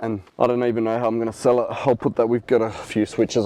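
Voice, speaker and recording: Speaking fairly quickly with an Australian accent, a man is heard in a dry, close recording with no echo but noticeable background noise. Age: 40s. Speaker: reseller. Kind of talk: casual talk to camera. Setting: in a car.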